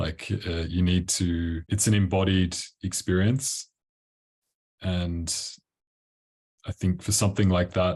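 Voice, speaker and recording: In an Australian accent, a man with a very deep, low pitch speaks at a fairly slow pace in a flat monotone, somewhat breathy, with long, frequent pauses over a quiet background. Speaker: tantra coach. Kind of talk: interview. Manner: casual, relaxed.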